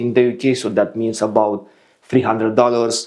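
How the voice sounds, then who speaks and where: With a Romanian accent, a man speaks at a moderate pace in a dark, mellow tone. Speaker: fragrance reviewer. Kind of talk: product review.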